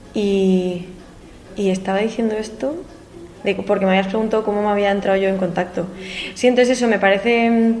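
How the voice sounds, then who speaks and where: A woman speaks at a fairly quick pace in a medium pitch with fairly even intonation and long, frequent pauses. Audible room echo and noticeable background noise surround her voice. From Spain, Madrid. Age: 20s. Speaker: singer-songwriter. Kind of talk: interview.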